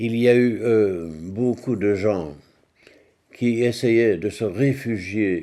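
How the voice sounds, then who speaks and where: In a Walloon accent, the voice moves at a very slow pace with a dark, mellow tone. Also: man. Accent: Belgian French (Walloon). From Belgium, Liège province (Francorchamps). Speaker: war survivor, former race circuit manager. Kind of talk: testimony. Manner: halting, with frequent hesitations.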